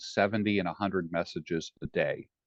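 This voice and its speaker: This man has an unremarkable speaking voice at a fairly low pitch. He talks at a fairly quick pace with fairly even intonation. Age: 60s. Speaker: life coach. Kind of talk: interview. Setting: podcast. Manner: direct.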